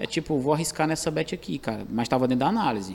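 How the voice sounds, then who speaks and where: Dark and mellow in tone, a man speaks with a Ceará accent. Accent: Ceará Northeastern Brazilian. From Calcaia, Ceará, Brazil. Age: 30s. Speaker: professional sports bettor, former barber.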